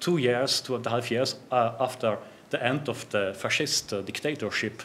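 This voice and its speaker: At a moderate pace, a man with a German accent speaks at a medium pitch with ordinary pitch variation. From South Tyrol, northern Italy (German-speaking). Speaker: judge. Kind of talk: conference talk. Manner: halting, many fillers.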